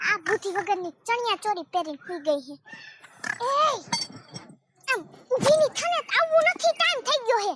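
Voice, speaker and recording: Putting on a character voice, a woman talks at an extremely high pitch and a moderate pace. Her pitch swings very widely. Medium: comedy sketch. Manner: blunt, bossy, insulting.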